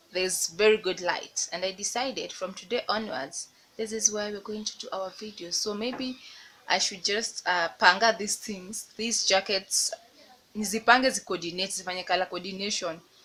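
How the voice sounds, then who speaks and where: A woman with a Kenyan accent talks in a medium pitch at a moderate pace with ordinary pitch variation, over noticeable background noise. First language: Swahili. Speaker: lifestyle vlogger. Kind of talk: casual vlog talk.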